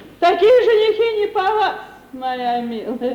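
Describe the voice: Doing a put-on character voice, a woman speaks at an extremely high pitch with big pitch swings and a fairly slow pace, and room echo is audible. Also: slightly mellow tone.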